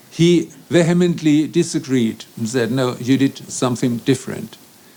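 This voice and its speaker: With a German accent, a man talks at a fairly high pitch with ordinary pitch variation. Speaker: law professor. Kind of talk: conference speech. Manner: formal.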